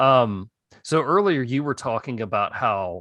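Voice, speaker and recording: Speaking slowly with lively intonation, a man has an ordinary speaking voice, recorded with a dry, close sound with no echo against a quiet background. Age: adult. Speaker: podcast host. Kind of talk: podcast interview.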